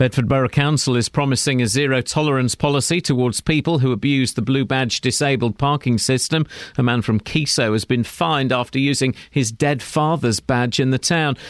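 Delivered at a fairly quick pace with hardly any pauses, a normal speaking voice keeps fairly even intonation and very even loudness on a very clean recording with a silent background and a dry, close sound with no echo. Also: man, medium pitch for a man. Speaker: newsreader. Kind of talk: news reading. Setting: studio.

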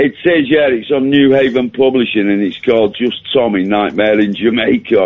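In a normal speaking voice at medium pitch, a man talks at a moderate pace with very even loudness, ordinary pitch variation and hardly any pauses. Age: 60s. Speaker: caller, author. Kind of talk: phone-in chat. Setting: phone call.

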